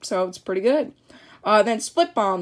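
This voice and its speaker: Her fairly high voice moves at a fairly quick pace with lively intonation. The woman is recorded very cleanly against a silent background. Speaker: card opening youtuber. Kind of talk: unboxing commentary. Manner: fast; halting, stumbling.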